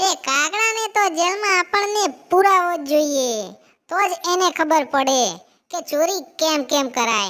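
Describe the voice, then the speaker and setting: A cartoonish character voice, squeaky and at an extremely high pitch, moves along at a fairly slow pace. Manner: talkative, emphatic.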